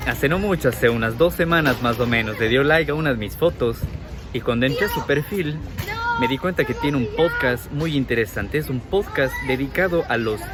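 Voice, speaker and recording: With music in the background, a man speaks fairly quickly at a fairly high pitch with lively intonation. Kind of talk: casual talk to camera.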